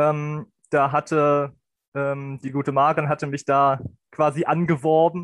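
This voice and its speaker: Monotone, flat delivery from a man with a fairly high pitch, dry, close sound with no echo and a quiet background. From Lower Saxony, Germany (Helmstedt district). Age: 20s. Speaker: student volunteer. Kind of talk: casual chat.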